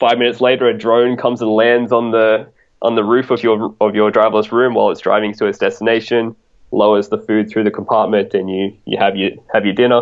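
Monotone, flat intonation in an Australian accent at a fairly quick pace. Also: man, medium pitch for a man. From Australia, rural New South Wales. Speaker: futurist and software developer. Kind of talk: casual interview.

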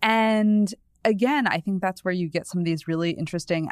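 In a plain, everyday voice, a woman with an American accent speaks at a moderate pace, fairly low in pitch with lively intonation, on a very clean recording with a silent background. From New England, US. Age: 30s. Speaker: culture and parenting columnist. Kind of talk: casual chat.

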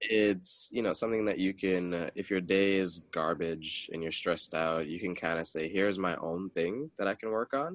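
With a very deep, low pitch and ordinary pitch variation, a man talks at a moderate pace with hardly any pauses. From Jamaican background. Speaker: graphic designer and business owner. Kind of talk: casual interview chat.

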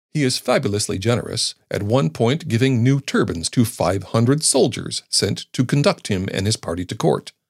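A man's somewhat breathy voice with lively intonation, a moderate pace and hardly any pauses, on a very clean recording with a silent background. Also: medium pitch for a man. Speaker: podcast narrator. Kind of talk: history documentary narration. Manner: measured, formal, steady storytelling pace; dry, wry, lightly ironic tone.

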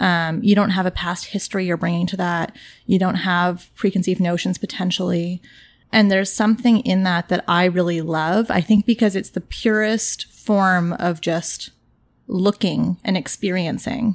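The voice is a plain, everyday voice. It moves at a moderate pace with fairly even intonation. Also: woman, medium pitch for a woman. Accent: Canadian. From Toronto, Canada. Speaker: portrait photographer. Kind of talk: casual interview. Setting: guest's apartment.

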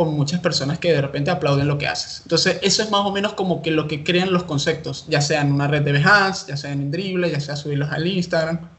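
Speaking with a Caracas accent, a man with a high pitch talks at a fairly quick pace with fairly even intonation over noticeable background noise. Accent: Venezuelan Spanish (Caracas). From Venezuela, Caracas. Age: 20s. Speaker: UX/UI designer. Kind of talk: casual interview.

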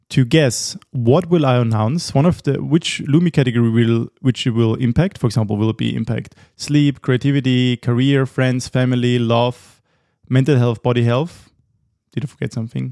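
In a German accent, a man speaks with a medium-pitched, dark, mellow tone. The sound is dry and close, with no echo. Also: ordinary pitch variation, moderate pace. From Austria. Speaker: podcast host. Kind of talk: podcast intro monologue; casual interview chat.

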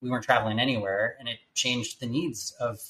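At a very fast pace, a man with medium pitch talks in an American accent. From California. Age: 30s. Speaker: startup founder and CEO. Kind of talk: interview.

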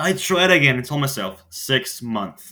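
With big pitch swings and a bright, sharp tone, the voice moves at a fairly slow pace. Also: man, medium pitch for a man.

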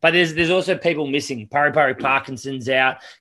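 Against a quiet background, a man with a New Zealand accent speaks in a bright, sharp tone. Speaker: rugby podcast co-host. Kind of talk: casual chat. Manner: flat, unexcited.

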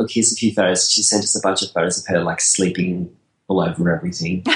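Very fast speech comes from a man with an Australian accent and a fairly low pitch. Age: 40s. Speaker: wedding photographer. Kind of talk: casual interview chat. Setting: video call.

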